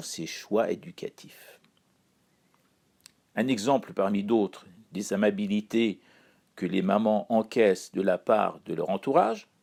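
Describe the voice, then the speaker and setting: Pitch swings very widely as a man talks at a very slow pace. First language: Persian (speaking French). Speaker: columnist. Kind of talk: scripted chronicle reading.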